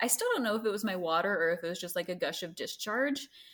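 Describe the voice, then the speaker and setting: A woman speaks with a plain, everyday voice. Her pitch is fairly high and her intonation lively. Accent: American. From US South, Greenville, South Carolina. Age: 20s. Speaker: mother sharing birth story. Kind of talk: casual interview, birth story.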